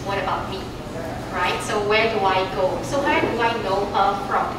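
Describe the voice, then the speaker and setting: Against loud background noise and audible room echo, a woman speaks at a moderate pace with ordinary pitch variation. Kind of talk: presentation talk. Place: meeting room. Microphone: camera far.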